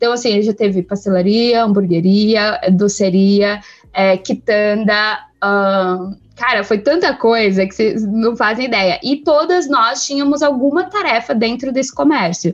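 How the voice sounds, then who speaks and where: With a plain, everyday voice, a woman speaks at a fairly slow pace, her fairly high pitch moving in lively intonation. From São Paulo, east zone. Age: 30s. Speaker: company coordinator. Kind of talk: interview.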